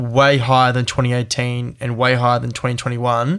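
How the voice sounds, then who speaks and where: A man with an unremarkable speaking voice talks at a moderate pace in a medium pitch. The recording is very clean, with a silent background. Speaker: podcast host. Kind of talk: casual chat.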